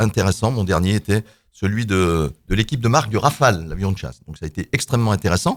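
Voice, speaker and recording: With a fairly low pitch and lively intonation, a man speaks in a very clean recording over a silent background. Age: 60s. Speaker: local politician, mayoral candidate. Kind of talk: radio debate self-introduction. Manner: halting, many hesitations.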